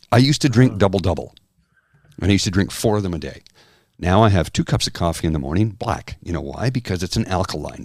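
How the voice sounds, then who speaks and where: In a very clean recording with a silent background, a man with a Canadian accent speaks at a very fast pace in a very deep, low pitch with vocal fry and lively intonation. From Canada. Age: 50s. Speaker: podcast co-host. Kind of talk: casual chat.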